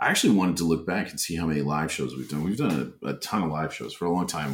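Speech in an American accent rushes by at a very fast pace. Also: man. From northern Minnesota (Bemidji). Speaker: screenwriter and comedian. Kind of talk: casual chat.

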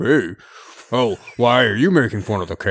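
A man's put-on character voice, lively in intonation and medium in pitch. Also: moderate pace. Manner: indignant.

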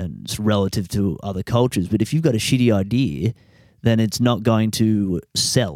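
In a dry, close sound with no echo, a man speaks at a fairly low pitch and moderate pace with ordinary pitch variation. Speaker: podcaster. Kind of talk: angry rant. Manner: ranting, swearing, frustrated; rambling, halting, casual.

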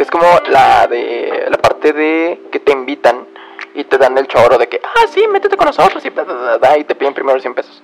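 With music playing in the background, a man talks at a moderate pace in a Mexican accent. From Mexico. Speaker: podcaster. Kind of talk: casual monologue. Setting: bedroom at home.

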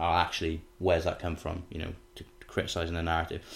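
A low-voiced man talks at a fairly quick pace in a monotone, flat intonation.

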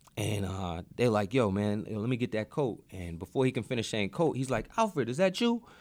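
With an American accent, a man speaks in a normal speaking voice at medium pitch, using lively intonation at a fairly quick pace with hardly any pauses. The recording is very clean with a silent background. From Boston. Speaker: teacher and martial arts instructor. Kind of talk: casual interview.

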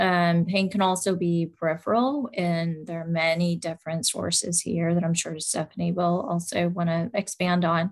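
A woman with a normal speaking voice, fairly low pitch, fairly even intonation and moderate pace. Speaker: rheumatologist doctor. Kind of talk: educational talk. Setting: live event with audience.

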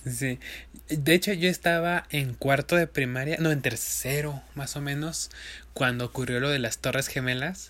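At a fairly slow pace, a man with a fairly high voice speaks with fairly even intonation. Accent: Mexican. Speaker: podcast co-host. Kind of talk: casual chat.

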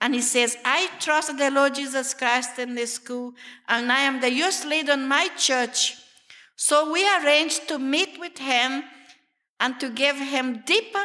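In a Brazilian Portuguese accent, a woman speaks at a fairly slow pace in a raised, projected voice with a high pitch, ordinary pitch variation and a bright, sharp tone. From Brazil, Amazon jungle region. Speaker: missionary. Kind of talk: testimony. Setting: church meeting with audience.

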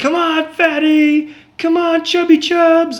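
In a put-on character voice, the speaker holds an extremely high pitch in a flat monotone at a fairly slow pace. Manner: harsh, taunting.

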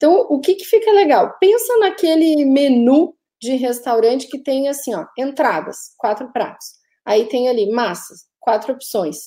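Speaking fairly slowly, a woman with a high pitch and a dark, mellow tone makes very wide pitch swings. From Brazil, of Italian descent; lived in Italy when young. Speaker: digital marketing agency owner and podcast host. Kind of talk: live podcast discussion. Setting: live stream.

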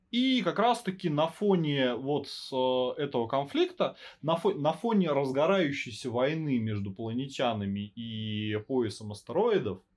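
Speaking at a fairly slow pace, a man with a fairly high voice swings his pitch very widely. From Russian provinces. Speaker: podcast host. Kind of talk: casual chat with swearing. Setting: home recording on phone. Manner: casual, profane, fluent.

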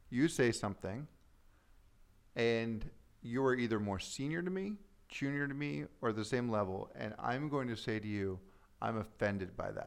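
The speech has lively intonation at a moderate pace, broken by long, frequent pauses. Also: man, medium pitch for a man. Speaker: advertising strategist. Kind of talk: casual conversation.

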